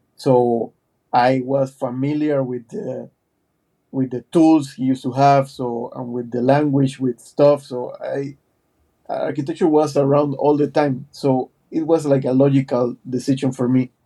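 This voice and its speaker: A man speaks at a fairly slow pace with a flat, monotone delivery. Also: fairly high pitch for a man. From Panama. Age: 40s. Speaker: architect and digital artist. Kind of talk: podcast interview. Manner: halting, many fillers and repetitions.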